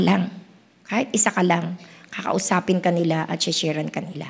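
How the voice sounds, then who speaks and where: A woman talks at a moderate pace, recorded very cleanly against a silent background. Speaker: pastor. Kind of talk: sermon.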